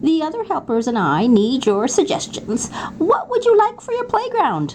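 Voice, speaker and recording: A woman's squeaky, high-pitched put-on character voice at a moderate pace, with very wide pitch swings and clear background noise. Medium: read story. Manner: jolly, warm.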